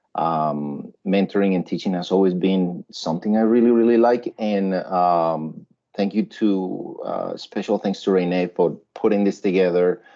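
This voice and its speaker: A man with a Spanish accent and fairly low pitch talks at a fairly slow pace with hardly any pauses and fairly even intonation. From Colombia. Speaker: web and UX designer, teacher. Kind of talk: workshop presentation. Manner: conversational, with many fillers.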